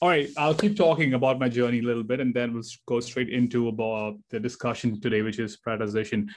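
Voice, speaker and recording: Light background noise behind a man speaking. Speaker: guest. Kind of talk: talk to an audience on a video call. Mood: relaxed, friendly, some laughs. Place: home room. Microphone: video call.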